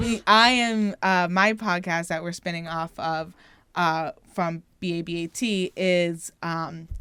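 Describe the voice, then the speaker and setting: On a very clean recording with a silent background, a woman with a Philadelphia accent speaks at a very slow pace. Her voice is fairly low in pitch, with a bright, sharp tone. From Philadelphia area, US. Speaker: podcast co-host. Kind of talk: casual chat. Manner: animated.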